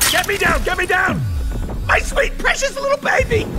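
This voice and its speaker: An extremely high-pitched, put-on character voice moves at a moderate pace over loud background noise. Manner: frantic, shouting.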